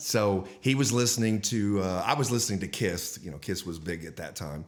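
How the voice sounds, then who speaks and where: An unremarkable speaking voice from a man with an American accent, fairly low in pitch, at a moderate pace, with lively intonation and big swings in loudness. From Texas, Dallas. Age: 60s. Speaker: guitarist and guitar teacher. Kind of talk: podcast interview.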